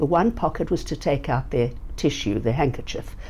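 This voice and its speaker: A woman with a South African accent. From South Africa, Johannesburg. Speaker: nonprofit founder. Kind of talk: interview. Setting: in person at organization headquarters.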